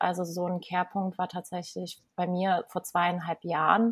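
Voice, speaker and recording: A woman speaks at a very slow pace and a medium pitch. Her voice is somewhat breathy, with monotone, flat intonation. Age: 30s. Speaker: life coach and breathwork trainer. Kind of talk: casual interview. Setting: video call from Bali. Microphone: unstable internet connection, dropouts.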